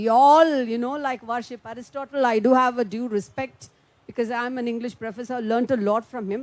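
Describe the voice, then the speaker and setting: In a Tamil Indian accent, a woman speaks at a moderate pace with a high pitch. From India, Tamil Nadu. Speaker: politician. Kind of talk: panel speech. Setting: conference room with audience.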